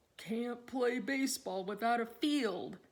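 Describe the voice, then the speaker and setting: Fairly slow pace in a put-on character voice. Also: woman, high pitch for a woman. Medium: read story. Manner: terse, grunting.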